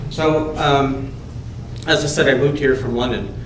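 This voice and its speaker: A man speaks in a flat monotone, with audible room echo and noticeable background noise. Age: 70s. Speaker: resident speaking at council meeting. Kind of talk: public delegation speech. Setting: council chamber with PA microphone. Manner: halting.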